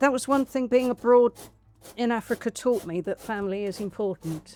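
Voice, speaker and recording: Her voice is fairly high in pitch with a dark, mellow tone and an English accent. This woman is heard in a dry, close sound with no echo. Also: ordinary pitch variation, moderate pace. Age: 70s. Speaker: powerlifter. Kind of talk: interview answer. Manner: casual, hesitant.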